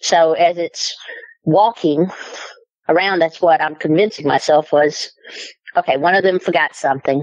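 A woman's fairly low, fairly even voice with an American accent, at a moderate pace with long, frequent pauses. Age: 50s. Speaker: eyewitness storyteller. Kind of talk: personal testimony.

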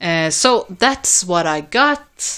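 A woman with a Swedish accent speaks in a bright, sharp tone. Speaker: record collector vlogger. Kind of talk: casual video vlog. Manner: hesitant, many fillers.

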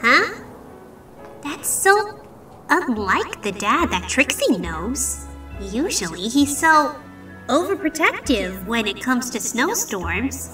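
A woman's cartoonish character voice, high-pitched with a bright, sharp tone, big pitch swings and a slow pace, over faint music in the background.

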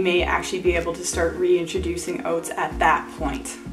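A woman talks at a fairly slow pace over clear background music. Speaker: health vlogger. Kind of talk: casual explainer vlog. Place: home room.

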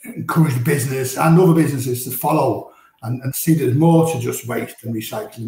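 The background is quiet, though room echo is audible. Pitch varies in an ordinary way. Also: man. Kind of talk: interview answer. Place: office.

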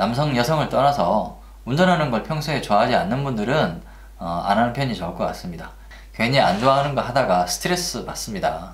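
A man talking at a fairly quick pace with lively intonation, amid audible room echo. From Korea. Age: 40s. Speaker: Uber driver. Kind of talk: casual talk to camera. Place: home room.

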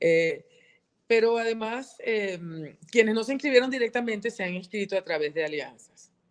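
Over a quiet background, a woman with a fairly high pitch talks at a moderate pace with lively intonation. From Venezuela. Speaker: politician and journalist; politician, journalist. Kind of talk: interview. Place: home room. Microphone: video call.

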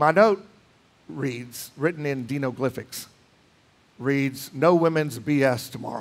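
Speaking very slowly with long, frequent pauses, a man uses a fairly high pitch and ordinary pitch variation. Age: 60s. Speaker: pastor. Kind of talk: sermon. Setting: church. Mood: relaxed, humorous. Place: church.

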